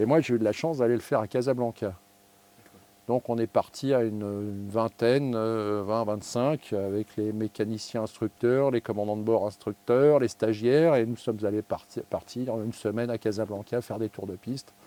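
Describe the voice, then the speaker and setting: Dark and mellow in tone, a man's voice keeps a fairly even intonation. The sound is dry and close with no echo. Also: medium pitch for a man, moderate pace. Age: 60s. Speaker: airline pilot. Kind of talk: interview. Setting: aircraft cockpit. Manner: hesitant with frequent fillers.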